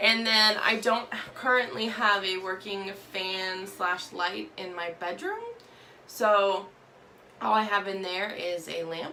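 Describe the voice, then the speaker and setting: A woman at medium pitch speaks at a very slow pace over noticeable background noise. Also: ordinary pitch variation. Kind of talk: casual talk to camera, makeup tutorial. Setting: bathroom, slightly echoey.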